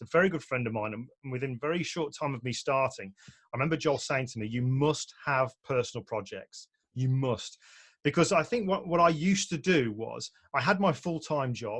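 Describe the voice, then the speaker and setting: A man with a British accent speaks at a fairly high pitch with lively intonation. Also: moderate pace. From UK. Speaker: portrait photographer and photography teacher. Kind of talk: online presentation talk. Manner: relaxed, conversational with fillers.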